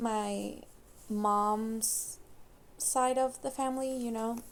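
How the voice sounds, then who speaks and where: Fairly high in pitch for a woman, her voice keeps a fairly even intonation. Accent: non-native. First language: not English. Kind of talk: casual personal talk to camera. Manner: hesitant.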